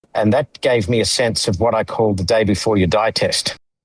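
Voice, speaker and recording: Here is a man with an Australian accent. His pitch is fairly low. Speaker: humanitarian lawyer and former aid official. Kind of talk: podcast interview. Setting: podcast.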